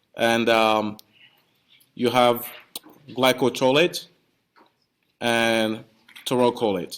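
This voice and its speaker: This man speaks at a medium pitch. He talks with a non-native accent. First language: not English. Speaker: pharmacy professor. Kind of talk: lecture. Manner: hesitant, with repeated words.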